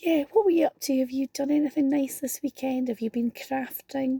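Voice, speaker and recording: A woman with a Scottish accent and a high pitch, at a moderate pace, in a dry, close sound with no echo. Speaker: card-making crafter. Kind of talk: casual chat in a crafting tutorial. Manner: quiet, saving her voice.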